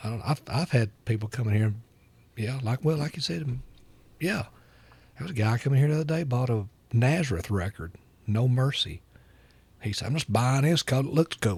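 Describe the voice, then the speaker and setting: Speaking in an Alabama accent, a man with a medium pitch and a somewhat breathy voice moves at a fairly quick pace with lively intonation and long, frequent pauses. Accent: Southern US (Alabama). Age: 60s. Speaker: record store owner. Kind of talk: casual chat. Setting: record store.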